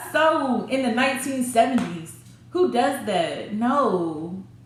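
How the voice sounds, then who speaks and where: A woman's fairly high voice comes through audible room echo and noticeable background noise. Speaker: YouTuber telling a personal story. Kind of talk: storytime, casual monologue. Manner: animated, voice rising when irritated.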